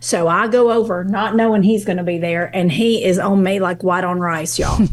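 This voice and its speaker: A woman with a Kentucky accent at medium pitch and a fairly quick pace, with ordinary pitch variation, noticeable background noise and audible room echo. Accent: Kentucky Southern. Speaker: guest on a relationship podcast. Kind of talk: casual interview chat, storytelling. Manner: animated.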